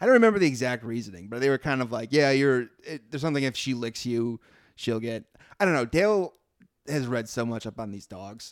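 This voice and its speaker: A plain, everyday voice from a man with an American accent, medium in pitch, with lively intonation, big swings in loudness, and a fairly quick pace, on a very clean recording with a silent background. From US Midwest. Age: 30s. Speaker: comedian. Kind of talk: casual chat.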